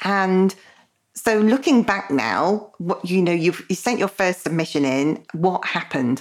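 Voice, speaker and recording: A woman with an unremarkable speaking voice talks with lively intonation and very even loudness. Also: medium pitch for a woman, fairly slow pace. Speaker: podcast host. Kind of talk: interview, conversational.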